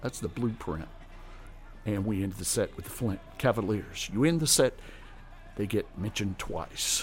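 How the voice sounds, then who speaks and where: Over music in the background, the speaker uses a warm, relaxed tone with ordinary pitch variation and long, frequent pauses. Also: man, fairly low pitch for a man. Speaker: radio host. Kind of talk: casual radio chat introducing gospel records. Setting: radio studio broadcast. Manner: warm, relaxed, friendly; unhurried, genial DJ patter.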